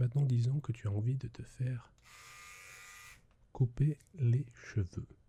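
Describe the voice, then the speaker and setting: A soft-spoken man talks at a very slow pace with a somewhat breathy, dark, mellow and gentle tone and ordinary pitch variation. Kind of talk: ASMR roleplay as an English teacher, soft spoken. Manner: soft-spoken, gentle.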